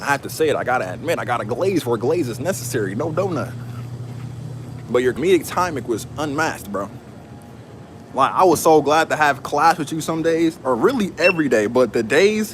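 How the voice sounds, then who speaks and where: With lively intonation and a fairly high pitch, a man talks at a fairly quick pace as noticeable background noise continues. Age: 20s. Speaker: live streamer. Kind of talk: casual live stream chat while working. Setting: at work in a warehouse.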